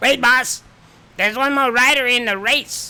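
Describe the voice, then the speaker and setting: The speaker uses a put-on character voice with a fairly high pitch at a moderate pace. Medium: comedy sketch.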